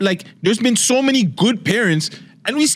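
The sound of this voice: At a moderate pace, a man's fairly bright voice makes very wide pitch swings.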